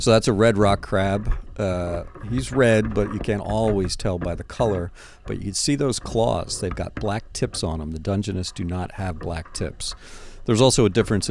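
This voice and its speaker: A man with an East Coast US accent talks in a fairly low voice with ordinary pitch variation. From US East Coast. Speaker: underwater photographer and video host. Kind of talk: casual commentary over underwater footage. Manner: animated.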